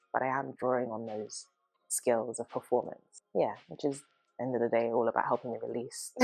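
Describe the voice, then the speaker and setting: At a moderate pace, a woman with a British accent speaks at a very deep, low pitch in a flat monotone over background music. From UK. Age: 30s. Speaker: dance artist and movement psychotherapist. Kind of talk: documentary interview monologue. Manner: casual, lots of filler words.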